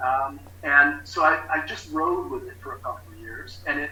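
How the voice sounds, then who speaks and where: A man speaks at a moderate pace while noticeable background noise and audible room echo fill the recording. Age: 60s. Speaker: recovery specialist. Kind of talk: testimony. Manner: halting.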